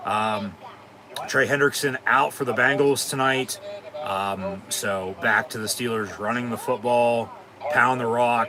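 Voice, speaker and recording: Noticeable background noise accompanies fairly slow speech with ordinary pitch variation. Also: man, medium pitch for a man. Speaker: sports live-stream host. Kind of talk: casual watch-along commentary.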